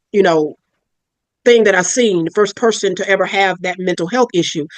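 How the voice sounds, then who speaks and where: Recorded with a dry, close sound and no echo, a woman speaks at a moderate pace with a medium pitch and ordinary pitch variation. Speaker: psychiatric nurse practitioner. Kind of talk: interview. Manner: loud.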